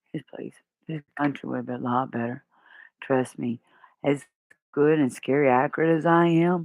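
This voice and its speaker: A woman with a very deep, low pitch speaks at a moderate pace with fairly even intonation and long, frequent pauses. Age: 40s. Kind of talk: casual talk to camera.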